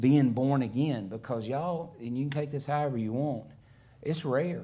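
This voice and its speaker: This man has an American accent and a dark, mellow tone at medium pitch. He talks at a moderate pace with ordinary pitch variation. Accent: noticeable accent, self-remarked. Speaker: missionary preacher. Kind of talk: sermon. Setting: church.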